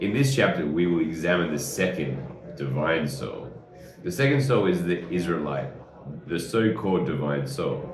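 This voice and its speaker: Over music in the background, a man with a very deep, low voice speaks at a moderate pace with very wide pitch swings. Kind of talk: reading aloud a religious text with commentary.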